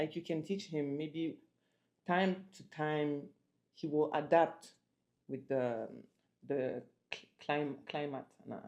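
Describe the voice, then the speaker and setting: A woman's very deep, low voice with a French accent, very slow and broken by long, frequent pauses, in a fairly even intonation. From France. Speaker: couple vlogger. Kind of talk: casual chat.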